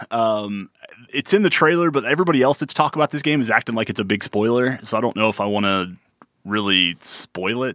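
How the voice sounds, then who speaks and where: This man has an ordinary speaking voice, medium in pitch, with lively intonation and a fairly quick pace. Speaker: podcast co-host. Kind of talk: casual chat.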